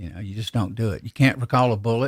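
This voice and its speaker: A somewhat breathy man speaks with a Southern US accent and fairly even intonation. The recording is very clean and dry, close and without echo, against a silent background. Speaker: gun reloading podcaster. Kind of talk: casual live podcast chat. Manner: halting, repeats words.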